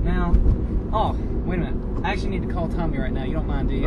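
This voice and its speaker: Loud background noise surrounds a man whose voice is recorded dry, without echo. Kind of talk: casual conversation. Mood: frustrated, confiding. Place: car. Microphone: phone near.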